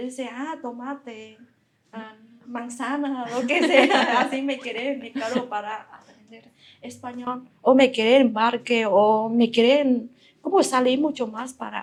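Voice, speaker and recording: A woman with a Vietnamese accent speaks at a fairly slow pace with a high pitch and fairly even intonation. Her loudness swings widely. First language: Vietnamese (speaking Spanish). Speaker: physics researcher. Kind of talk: interview storytelling.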